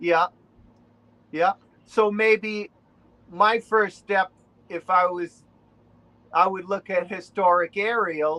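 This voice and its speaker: A man's raised, projected voice in a Boston accent, high in pitch and bright and sharp in tone, at a very slow pace with long, frequent pauses, the sound dry and close with no echo. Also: fairly even intonation. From New England, Rhode Island. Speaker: relic hunter. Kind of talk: casual interview.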